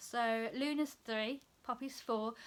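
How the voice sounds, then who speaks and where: A woman with a bright, sharp tone uses a raised, projected voice at a fairly slow pace. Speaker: cross stitch hobbyist. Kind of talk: casual talk to camera.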